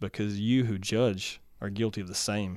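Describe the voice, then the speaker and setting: A man speaks in a normal speaking voice with a fairly low pitch and fairly even intonation, on a very clean recording with a silent background. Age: 30s. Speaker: landlord, church member. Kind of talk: testimony.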